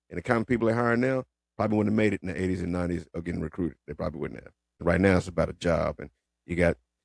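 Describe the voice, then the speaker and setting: Very fast and animated, a man with a very deep, low pitch and ordinary pitch variation speaks with big swings in loudness. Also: dry, close sound with no echo. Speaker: retired police officer and commentator. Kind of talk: casual commentary monologue.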